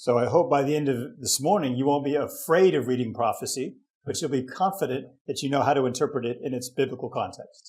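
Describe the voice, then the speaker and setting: Very fast, somewhat breathy speech from a man. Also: fairly high pitch for a man, ordinary pitch variation. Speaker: bible teacher. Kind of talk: lecture.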